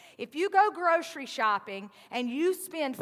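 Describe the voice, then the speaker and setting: Talking at a fairly slow pace, a woman speaks with a Southern US accent. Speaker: pastor. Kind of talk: sermon. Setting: church. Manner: conversational, casual.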